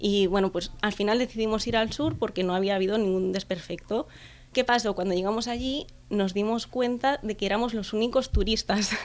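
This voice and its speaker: Fairly high-pitched and fairly quick, a woman talks with fairly even intonation. Hers is a plain, everyday voice. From Catalonia, Spain (Tarragona area). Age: 20s. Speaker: travel blogger. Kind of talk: interview.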